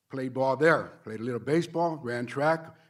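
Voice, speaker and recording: Captured in a very clean recording with a silent background, a man speaks at a fairly quick pace with a medium pitch and fairly even intonation. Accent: American. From Los Angeles, Boyle Heights. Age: 60s. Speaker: union representative. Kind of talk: public comment at a board meeting. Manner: halting with repetitions.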